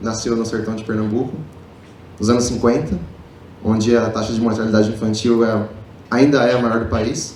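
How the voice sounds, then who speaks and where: Audible room echo surrounds a man who speaks in a monotone, flat intonation at a moderate pace, leaving long, frequent pauses. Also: medium pitch for a man. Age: 30s. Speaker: public speaker, marketing executive. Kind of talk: motivational talk. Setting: stage with audience.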